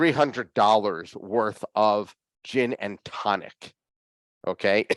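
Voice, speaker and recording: The voice is a man's, animated in tone. It sounds dry and close, with no echo. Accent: Philadelphia. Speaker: whiskey hobbyist show host. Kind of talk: casual chat.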